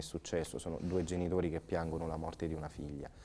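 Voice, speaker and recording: A man talks at a very fast pace with a monotone, flat intonation. His tone is dark and mellow, and his pitch is very deep and low. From central Italy (Umbria). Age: 30s. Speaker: priest; priest guest. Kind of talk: interview; interview answer. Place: studio. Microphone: lapel.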